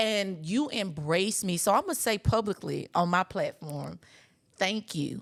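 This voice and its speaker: A woman speaks at a fairly slow pace with vocal fry and lively intonation, in a dry, close sound with no echo on a very clean recording, silent background. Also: medium pitch for a woman. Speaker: podcast host. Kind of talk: casual interview chat. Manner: loud; animated.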